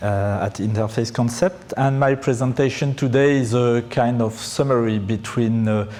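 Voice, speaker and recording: Fairly even intonation from a medium-pitched man at a fairly slow pace. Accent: French. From France. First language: French. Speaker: pre-sales engineer. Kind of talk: conference presentation. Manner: halting, many fillers.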